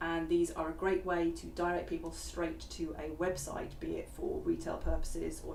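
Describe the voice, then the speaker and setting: A quiet woman at a moderate pace, with audible room echo and noticeable background noise. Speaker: VR software developer. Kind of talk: live stream chat. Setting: online live stream. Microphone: far from the mic.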